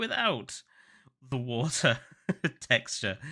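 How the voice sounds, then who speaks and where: Speaking very slowly with a southern English accent, a man with a medium pitch and a bright, sharp tone swings his pitch very widely on a very clean recording with a silent background. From southern England. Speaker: gaming streamer. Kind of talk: live game stream commentary. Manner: casual, repeats words.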